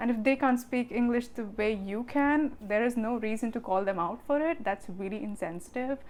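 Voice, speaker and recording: A woman's fairly high-pitched voice with an Indian accent. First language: Hindi. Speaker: vlogger. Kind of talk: casual vlog talk. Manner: fast.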